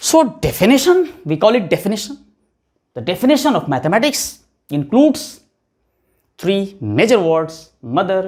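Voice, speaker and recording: A man with an Indian accent speaks at a fairly slow pace with very wide pitch swings, on a very clean recording with a silent background. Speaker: physics teacher. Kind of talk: lecture.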